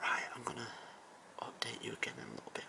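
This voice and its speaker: Noticeable background noise sits under a man's whispering. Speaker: youtuber. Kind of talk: vlog. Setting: outdoors.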